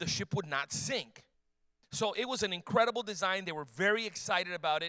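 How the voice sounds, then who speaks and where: The voice is animated and bright, sharp in tone, moving at a fairly quick pace with ordinary pitch variation in a dry, close sound with no echo. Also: man. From Cuban background. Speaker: apologetics speaker. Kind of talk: talk to a church youth audience. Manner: fast.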